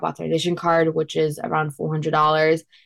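At a moderate pace, a woman talks in a fairly low pitch. The recording is very clean, with a silent background. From Queens, New York. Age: young. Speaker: non-profit founder and college student. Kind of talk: interview.

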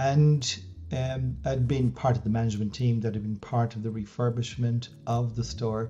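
A man with an Irish accent speaks at a fairly slow pace in a medium pitch, his dark, mellow, somewhat breathy voice calm and fairly even in intonation. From Ireland, West Wicklow. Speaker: business coach and former CEO. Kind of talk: interview. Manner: halting.

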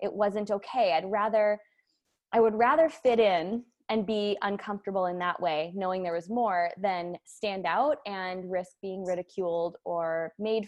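A woman with an American accent speaks in an ordinary speaking voice at a medium pitch. Her pace is fairly slow, with ordinary pitch variation. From US Midwest, Wisconsin. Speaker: entrepreneur and business coach. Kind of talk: casual interview chat.

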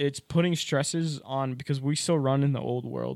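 An unremarkable speaking voice with an American accent comes through a very clean recording with a silent background and a dry, close sound with no echo. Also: man. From rural area near New York, US Northeast. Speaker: college student. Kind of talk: casual chat.

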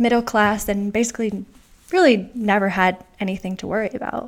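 A woman speaks at a moderate pace in a fairly high pitch. It is an unremarkable speaking voice. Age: 20s. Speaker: writer and mental health advocate. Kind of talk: casual interview.

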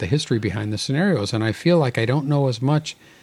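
This is an unforced reading voice. The words are read aloud.

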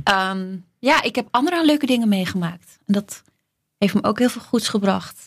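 A woman speaks at a moderate pace with lively intonation. Her voice is somewhat breathy. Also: medium pitch for a woman. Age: 30s. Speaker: flight attendant. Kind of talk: casual chat.

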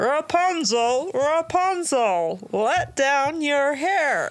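In a put-on character voice, the speaker talks very slowly at a high pitch. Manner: romantic, breathy, comic, laughing.

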